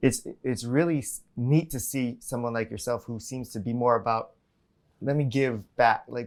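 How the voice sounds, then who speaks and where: On a very clean recording with a silent background, a speaker in a Hawaiian accent talks at a moderate pace with fairly even intonation. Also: man, medium pitch for a man. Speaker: podcast host. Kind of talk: interview.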